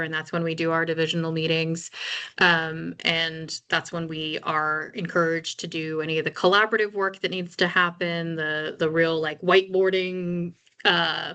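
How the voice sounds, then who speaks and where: A woman's fairly low voice with a bright, sharp tone, monotone and flat, at a moderate pace. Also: quiet background. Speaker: workplace trainer. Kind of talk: casual chat.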